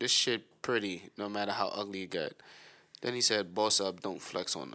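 A man's bright, sharp tone at fairly low pitch, moderate pace, and monotone, flat intonation. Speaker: co-host. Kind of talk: casual chat. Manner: loud.

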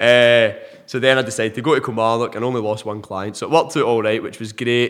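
Delivered at a very fast pace with hardly any pauses, the speech comes in an Ayrshire accent with fairly even intonation. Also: man, medium pitch for a man. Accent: Scottish, Ayrshire. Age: 20s. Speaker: personal trainer. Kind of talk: casual interview chat.

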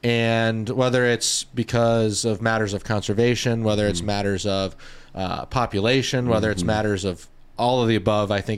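This man has an ordinary speaking voice with an American accent, fairly low in pitch, moving at a fairly quick pace with fairly even intonation. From Florida Gulf Coast (Dunedin). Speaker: podcast host, fly shop. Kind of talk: casual interview.

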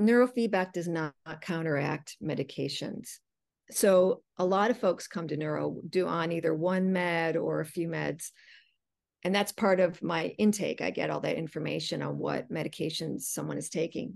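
Over a quiet background, a woman with a fairly low pitch and vocal fry talks with ordinary pitch variation. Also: moderate pace. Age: 40s. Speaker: neurofeedback practitioner. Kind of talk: interview.

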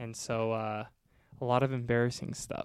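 At a moderate pace, a man with a normal speaking voice talks at a medium pitch, the sound dry and close with no echo. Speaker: podcast co-host. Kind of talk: casual chat.

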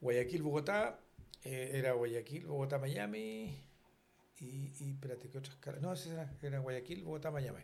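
Somewhat breathy and fairly high-pitched, a man speaks at a fairly slow pace with long, frequent pauses and ordinary pitch variation, with audible room echo. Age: 70s. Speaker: retired airline pilot and flight instructor. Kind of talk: casual chat. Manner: halting.

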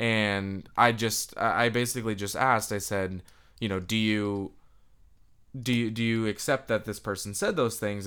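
Fairly low in pitch, a man with an American accent speaks with fairly even intonation on a very clean recording with a silent background. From US Midwest and Boston. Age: 20s. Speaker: student podcast host. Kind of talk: casual chat. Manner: halting.

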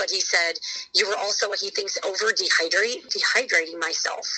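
There is noticeable background noise behind this voice. A woman talks at a moderate pace. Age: 40s. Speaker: mother sharing fertility journey. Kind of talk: interview testimony. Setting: phone call. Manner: loud.

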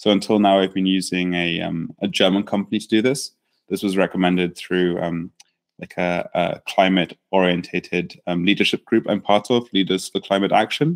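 A man's very deep, low voice with an English accent, fairly even intonation and a moderate pace. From England. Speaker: startup founder and founder coach. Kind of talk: interview. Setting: in person, same room.

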